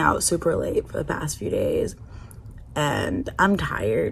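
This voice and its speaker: Noticeable background noise fills the recording. Through it, a woman talks fairly slowly. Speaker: travel vlogger. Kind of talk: casual vlog. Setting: hostel room.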